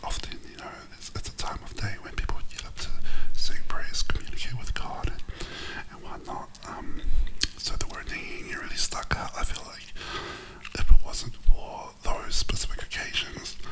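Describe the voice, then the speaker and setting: Whispered words come with long, frequent pauses, and noticeable background noise sits under them. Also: moderate pace. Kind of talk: casual conversation.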